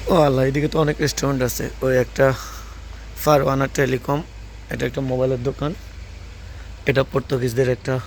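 Somewhat breathy and flat in intonation, a man speaks in a monotone at a medium pitch. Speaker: travel vlogger. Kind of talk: walking travel vlog narration. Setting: outdoors on a street. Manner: halting.

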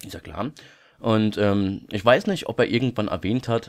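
A man speaks with ordinary pitch variation. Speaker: YouTuber. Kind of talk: casual vlog monologue. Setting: home recording at night. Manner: quieter than usual; many filler sounds.

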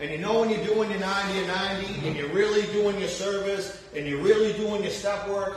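A man with a high pitch talks at a fairly quick pace amid strong room echo.

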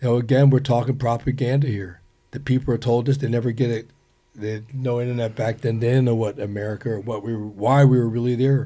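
A man speaks at a very fast pace in a dark, mellow, somewhat breathy tone. His intonation is monotone and flat. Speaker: Vietnam war veteran. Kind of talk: casual chat. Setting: studio. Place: studio. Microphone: studio mic.

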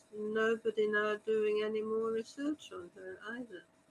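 Over light background noise, a woman speaks at a fairly high pitch and a fairly slow pace. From Hungary, Budapest, then Australia. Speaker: historian and author; panelist. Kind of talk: panel discussion. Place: home room. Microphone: video call.

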